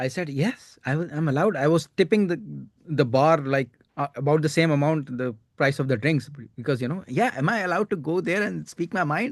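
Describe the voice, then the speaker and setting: A man with an Indian accent speaks fairly quickly in a fairly high pitch, with lively intonation. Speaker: stand-up comedian. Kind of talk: casual chat. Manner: halting, many fillers.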